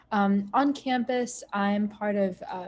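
Over light background noise, a woman with an American accent speaks in a somewhat breathy, medium-pitched voice with fairly even intonation. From Ohio, US (Sylvania); Ohio. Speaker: college student. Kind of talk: casual Q&A panel; panel answer on a video call. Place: home room. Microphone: video call.

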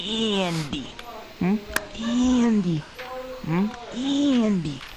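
A woman's put-on character voice at a medium pitch, with clear background noise. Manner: menacing, singsong.

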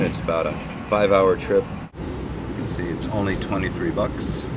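Loud background noise surrounds a man who keeps a moderate pace. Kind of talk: casual vlog chat. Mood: upbeat, relaxed. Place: train. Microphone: webcam.

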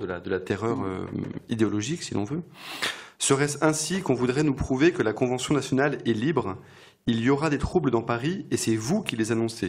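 A man speaks at a fairly quick pace. His medium-pitched voice has lively intonation. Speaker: bookshop event host. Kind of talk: interview. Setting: stage with audience. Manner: halting.

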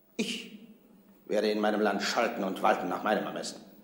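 A man at a fairly quick pace, with audible room echo. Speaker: actor playing a king. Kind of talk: scripted drama dialogue. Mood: firm, disdainful. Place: hall.

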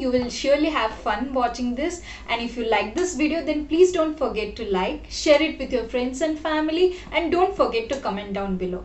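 The speech moves at a moderate pace, and room echo is audible. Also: woman. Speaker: food vlogger. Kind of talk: casual vlog chat. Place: home room. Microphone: phone near.

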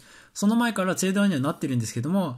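Very clean and set against a silent background, the recording captures a man with a high pitch and very wide pitch swings. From Japan, Yokohama. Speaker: pianist and music teacher. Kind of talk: lecture. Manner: fast.

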